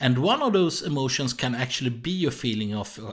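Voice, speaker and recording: A man with a Swedish accent speaks at medium pitch with lively intonation. The recording is very clean, with a silent background. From Sweden. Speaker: jealousy therapist. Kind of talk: solo educational podcast. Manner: halting.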